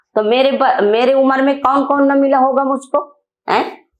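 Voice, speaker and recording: The woman here speaks at a high pitch. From Bundelkhand, northern India. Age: 60s. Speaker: women's rights activist. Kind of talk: interview. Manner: emphatic.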